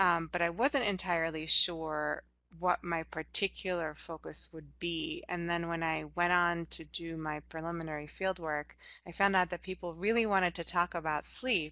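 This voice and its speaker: With a Hungarian accent, a woman speaks at a fairly low pitch. Her intonation stays fairly even. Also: moderate pace. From Hungary. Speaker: anthropologist. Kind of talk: interview.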